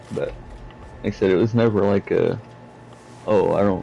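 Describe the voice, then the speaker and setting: A man with a fairly low pitch. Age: 20s. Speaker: gaming streamer. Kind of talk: casual chat. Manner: halting.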